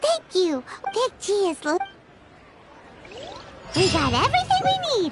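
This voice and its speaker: Squeaky and extremely high-pitched, the put-on character voice comes with long, frequent pauses. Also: moderate pace. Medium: video game.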